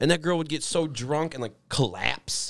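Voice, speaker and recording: A man with a fairly high voice speaks at a moderate pace in an animated tone, his pitch varying in an ordinary way, on a very clean recording with a silent background. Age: 20s. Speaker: podcast co-host. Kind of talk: casual chat.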